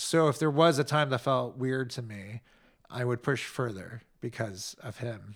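A man speaks in a plain, everyday voice with an American accent, at medium pitch with ordinary pitch variation. The pace is fairly slow, and the very clean recording has a silent background. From United States. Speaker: podcast co-host. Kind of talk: casual chat.

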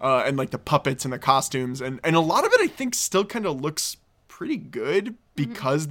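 At a fairly quick pace, a normal speaking voice comes through with ordinary pitch variation. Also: man. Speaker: podcast host. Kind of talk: casual comedy podcast chat.

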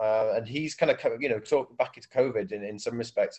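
With a Welsh accent, a man speaks at a fairly quick pace. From South Wales. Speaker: DJ and radio station head. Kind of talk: casual interview. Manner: hesitant, many fillers.

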